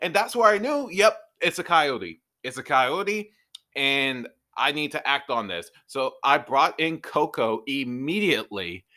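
In a very clean recording with a silent background, a man speaks at a fairly slow pace in a fairly high pitch with a bright, sharp tone. His animated delivery has very wide pitch swings and vocal fry. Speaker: podcast host. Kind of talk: casual chat. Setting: home studio.

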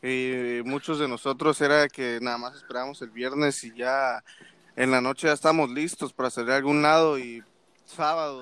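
An unremarkable speaking voice from a man at medium pitch, with fairly even intonation and a moderate pace, against a quiet background. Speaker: podcast co-host, student. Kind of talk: casual chat.

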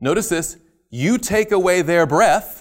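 Speaking at a fairly slow pace, this man has a high pitch. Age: 40s. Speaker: Bible seminar teacher. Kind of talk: lecture. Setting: camp meeting seminar class with audience.

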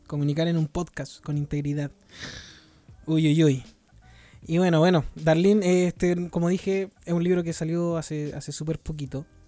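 A man with a Chilean accent, dark, mellow tone and fairly high pitch, at a moderate pace, with monotone, flat intonation and long, frequent pauses. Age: 20s. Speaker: podcast host, mission base worker. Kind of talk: casual chat. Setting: recorded at home on mission base.

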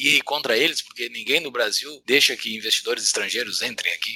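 Here a man talks at a fairly quick pace. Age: 30s. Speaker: podcast host. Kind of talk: casual chat.

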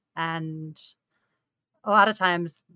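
A woman's tone is bright and sharp, pitched fairly low. Her intonation stays fairly even. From New York. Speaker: game player council member. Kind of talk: casual chat.

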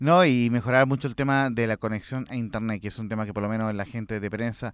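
A man with a medium pitch keeps his intonation fairly even and moves at a fairly quick pace in a normal speaking voice. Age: 40s. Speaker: sports radio producer. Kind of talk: casual chat. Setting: studio.

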